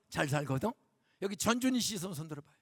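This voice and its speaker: A man is talking. His tone is animated. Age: 70s. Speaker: guest pastor. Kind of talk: sermon. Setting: church. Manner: animated, conversational.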